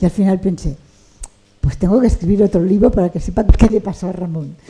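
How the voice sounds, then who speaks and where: A woman with a Catalan accent speaks at a fairly quick pace, at medium pitch with ordinary pitch variation. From Catalonia, Barcelona. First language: Catalan (speaking Spanish). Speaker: writer. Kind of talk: interview conversation. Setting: bookshop event with audience.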